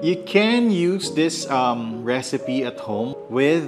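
Clear music in the background accompanies a man talking. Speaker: coffee vlogger. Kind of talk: casual vlog chat. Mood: cheerful, enthusiastic. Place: home room.

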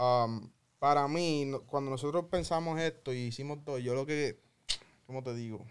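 The speaker has a plain, everyday voice at a moderate pace. Intonation is fairly even. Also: man, fairly high pitch for a man. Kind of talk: casual chat.

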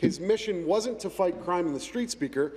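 High in pitch, a man talks with a Canadian accent. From Canada. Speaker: provincial legislator. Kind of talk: parliamentary statement. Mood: earnest, tribute tone. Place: hall. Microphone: podium.

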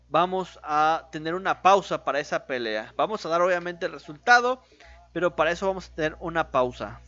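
A man speaks at a fairly quick pace in a high voice. The sound is dry, with no echo. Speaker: boxing commentator. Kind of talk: live boxing commentary, blow-by-blow narration of a fight. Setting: home-style stream narrating a fight broadcast. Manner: informal and chatty, speaking directly to viewers. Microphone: studio mic.

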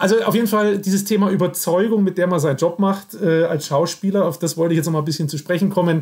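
Very fast speech from a man, high in pitch, with fairly even intonation. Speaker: podcast host. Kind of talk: interview conversation. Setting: Skype video call. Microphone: laptop fan noise, imperfect sound.

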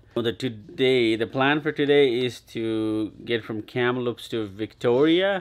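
A man speaking at a very slow pace, with ordinary pitch variation. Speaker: family travel vlogger. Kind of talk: casual vlog chat. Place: home room. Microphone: phone near.

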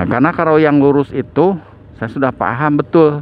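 A man talks at a moderate pace in a dry sound with no echo, with light background noise. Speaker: travel vlogger. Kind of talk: casual vlog commentary.

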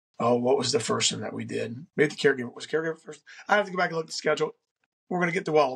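A man speaks in a somewhat breathy voice. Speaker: podcast host. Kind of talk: solo podcast monologue on faith and self-improvement. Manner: casual with frequent fillers and restarts.

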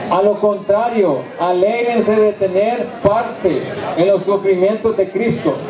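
With noticeable background noise behind him, a man speaks very slowly in a high pitch, his loudness very even and his intonation fairly even. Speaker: preacher. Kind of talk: sermon to inmates, preaching from the Bible. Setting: prison. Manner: fervent, exhorting, call-and-response; emphatic, direct, pleading. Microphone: camera far.

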